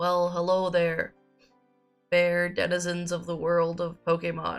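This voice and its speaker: Music plays in the background. Over it, a woman speaks in a flat monotone. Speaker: streamer. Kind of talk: casual talk to stream chat.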